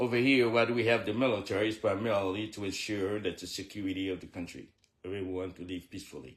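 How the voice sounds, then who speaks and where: A man with a Haitian accent speaks at a very fast pace, his voice fairly low in pitch with ordinary pitch variation. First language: Haitian Creole. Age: 70s. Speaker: military veteran and fitness trainer. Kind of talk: personal livestream address. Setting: live video.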